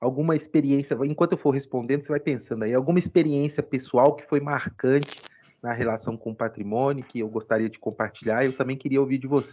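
Against a quiet background, a man with a normal speaking voice and medium pitch talks at a fairly quick pace with fairly even intonation and big swings in loudness. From Ouro Preto, Minas Gerais, Brazil. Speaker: law professor. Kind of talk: interview, explanatory.

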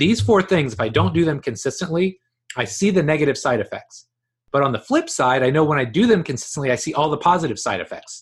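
Somewhat breathy and fairly high-pitched, a man talks at a very fast pace with lively intonation. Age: 40s. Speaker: strength coach. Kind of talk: interview.

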